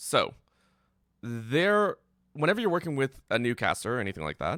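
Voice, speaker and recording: In a very clean recording with a silent background and a dry, close sound with no echo, a man with a bright, sharp tone makes very wide pitch swings. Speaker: esports caster and workshop teacher. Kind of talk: lecture.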